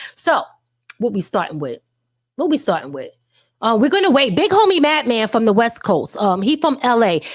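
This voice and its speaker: With vocal fry and an animated tone, a woman's voice makes very wide pitch swings between long, frequent pauses. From New York. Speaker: talk show host. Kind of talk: casual live show chat. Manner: fast.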